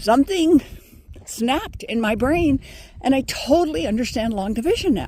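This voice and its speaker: A woman speaks at a high pitch and a moderate pace. Her pitch swings very widely over noticeable background noise. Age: 70s. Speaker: former professor and meditation teacher. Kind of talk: casual vlog monologue. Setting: outdoors on a walk.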